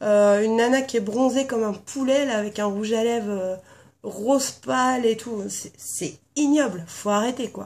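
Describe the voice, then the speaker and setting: Fairly high in pitch, a woman talks at a fairly slow pace with ordinary pitch variation. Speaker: beauty vlogger. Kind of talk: casual video tag chat. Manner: hesitant with many fillers.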